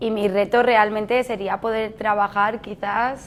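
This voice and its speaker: This woman talks at a fairly slow pace in a flat, monotone delivery, her pitch sitting in the medium range. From Spain, Mallorca (Palma). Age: 30s. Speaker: barista and café manager. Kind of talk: interview answers. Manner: hesitant, with fillers and restarts.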